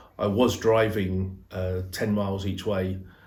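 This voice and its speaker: A somewhat breathy male voice in monotone, flat intonation, with audible room echo. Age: 60s. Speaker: car dealer. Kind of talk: testimony. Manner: hesitant, with fillers.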